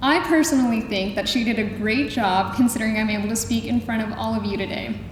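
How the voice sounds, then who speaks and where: Over noticeable background noise and audible room echo, a woman speaks very fast at a fairly high pitch. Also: ordinary pitch variation. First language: Spanish. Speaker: school alumna speaker. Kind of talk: prepared speech.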